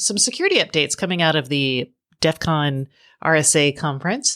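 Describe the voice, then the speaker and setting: A woman's very deep, low voice at a moderate pace, ordinary pitch variation, very even loudness, and a dry, close sound with no echo. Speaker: podcast host. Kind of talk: podcast intro.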